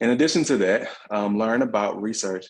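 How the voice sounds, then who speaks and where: With a Southern US accent, a man speaks at a very fast pace with ordinary pitch variation against a quiet background. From US South. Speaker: workshop facilitator / researcher. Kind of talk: online workshop presentation. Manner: hesitant fillers.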